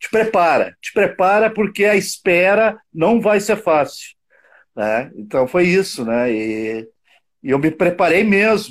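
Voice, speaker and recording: A man speaks very slowly in a high pitch. His voice makes very wide pitch swings. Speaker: saxophonist, liver transplant recipient. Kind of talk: casual chat.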